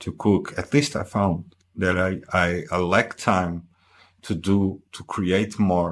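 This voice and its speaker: Over a very clean recording with a silent background, a man with a Portuguese accent talks at a very slow pace in a very deep, low voice with ordinary pitch variation. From Portugal. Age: 40s. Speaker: husband and guest. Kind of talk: casual chat, interview. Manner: halting, hesitant with fillers.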